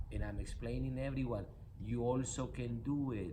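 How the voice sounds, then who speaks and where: A man speaks with a non-native accent. Room echo is audible. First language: not English. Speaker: spiritual coach and nonprofit founder. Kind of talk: motivational talk. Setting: in a car. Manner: animated.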